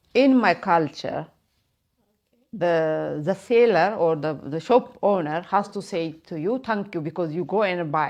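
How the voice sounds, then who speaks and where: Speaking at a fairly slow pace with a non-native accent, a woman uses lively intonation in a fairly low pitch. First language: not English. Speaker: migrant interviewee. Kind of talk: documentary interview. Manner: halting.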